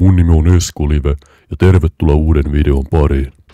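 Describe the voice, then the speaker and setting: In a put-on character voice, a man growls at a very deep, low pitch. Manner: YouTuber intro in forced low voice.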